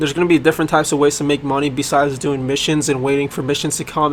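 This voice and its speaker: Noticeable background noise sits behind a man with a fairly high pitch and monotone, flat intonation. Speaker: game developer. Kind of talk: casual video explanation. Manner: halting, many fillers.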